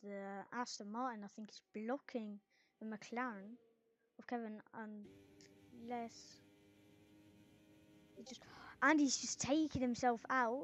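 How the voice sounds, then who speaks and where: This woman's voice sits at a fairly high pitch, moving at a very slow pace with fairly even intonation and long, frequent pauses. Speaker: sim racing commentator. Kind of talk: live commentary. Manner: soft-spoken.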